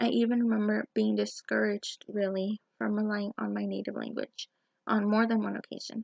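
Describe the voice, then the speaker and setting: Speech comes with a Spanish accent. The pace runs fairly quick. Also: woman. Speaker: student teacher. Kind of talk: personal video blog.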